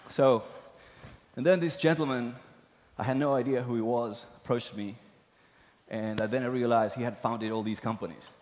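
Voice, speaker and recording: A man with a Spanish accent speaks at a fairly quick pace in a medium pitch with ordinary pitch variation. He takes long, frequent pauses, and the room echo is audible. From Argentina. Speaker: tech executive. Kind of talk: conference talk. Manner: halting, many fillers.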